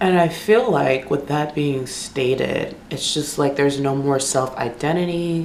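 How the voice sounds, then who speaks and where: Against noticeable background noise and audible room echo, a woman with a very deep, low pitch speaks at a fairly slow pace with ordinary pitch variation and hardly any pauses. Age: 20s. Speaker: beauty vlogger. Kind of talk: casual chat. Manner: casual, filler-heavy.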